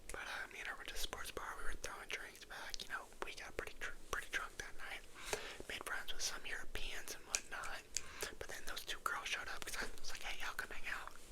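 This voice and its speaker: Whispering at a fairly quick pace with an American accent, a man sounds relaxed amid noticeable background noise. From United States. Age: 20s. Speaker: ASMR creator, college student and baseball player. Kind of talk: casual whispered ramble to camera. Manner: whispered, relaxed, chatty.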